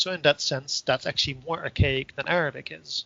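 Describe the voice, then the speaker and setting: A man with a Dutch accent at a moderate pace. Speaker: professor. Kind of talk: interview. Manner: hesitant, many fillers.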